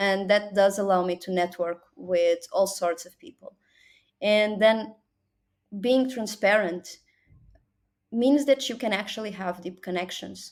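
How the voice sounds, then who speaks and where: In a Portuguese accent, a woman at medium pitch speaks at a fairly slow pace with long, frequent pauses, ordinary pitch variation and big swings in loudness. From Portugal. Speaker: business development executive. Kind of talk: interview.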